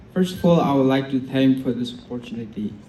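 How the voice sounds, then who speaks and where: With ordinary pitch variation, the speech moves at a moderate pace in audible room echo. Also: man. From Tamenglong district, Manipur. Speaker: fresher. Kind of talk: self-introduction.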